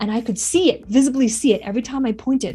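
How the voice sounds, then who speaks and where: A woman's dark, mellow, somewhat breathy voice. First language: not English. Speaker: public speaking coach. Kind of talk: motivational talk to camera.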